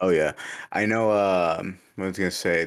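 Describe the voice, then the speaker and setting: A man with a very deep, low voice speaks in an animated tone at a moderate pace, on a very clean recording with a silent background. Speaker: podcast host. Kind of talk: casual chat. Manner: joking, profane, animated.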